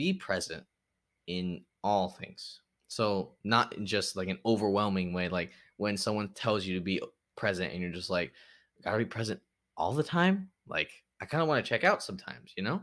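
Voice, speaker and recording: A man with an ordinary speaking voice talks at a moderate pace in a fairly low pitch, with ordinary pitch variation, on a very clean recording with a silent background. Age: 20s. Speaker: podcast host. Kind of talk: unscripted solo monologue. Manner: casual, rambling with filler words.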